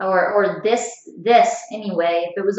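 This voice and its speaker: Lively intonation marks a woman speaking at a fairly slow pace. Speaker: psychic reader. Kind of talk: spiritual reading. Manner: halting with fillers.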